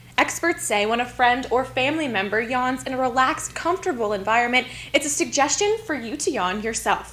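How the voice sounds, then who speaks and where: Over noticeable background noise, a woman with a high pitch speaks at a fairly quick pace with lively intonation and hardly any pauses. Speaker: television news reporter and anchor. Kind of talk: TV news reporting.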